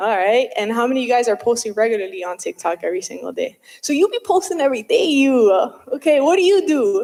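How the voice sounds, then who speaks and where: An animated, very fast delivery with hardly any pauses. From New Jersey. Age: 30s. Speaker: realtor and social media speaker. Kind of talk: live talk to an audience. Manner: animated, casual.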